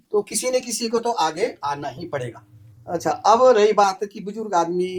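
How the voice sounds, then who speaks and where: A man's high voice with lively intonation. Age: 60s. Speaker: apple farmer. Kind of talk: casual chat.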